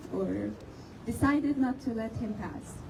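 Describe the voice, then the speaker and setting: A high-pitched woman's voice comes through noticeable background noise. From Palestine (West Bank, Jericho). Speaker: student. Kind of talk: protest speech to a crowd. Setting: outdoors.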